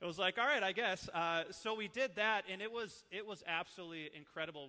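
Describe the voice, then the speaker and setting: Bright and sharp in tone, a man with an Upper Midwest accent speaks in an animated way at a fairly quick pace with ordinary pitch variation. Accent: Upper Midwest (Minnesota). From northern Minnesota, Iron Range. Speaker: church ministry leader, former youth pastor. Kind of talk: training talk to church staff. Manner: casual, animated.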